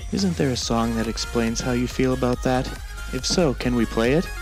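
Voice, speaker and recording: Music plays in the background as a man speaks at a moderate pace with very even loudness. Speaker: guest voice-over co-host.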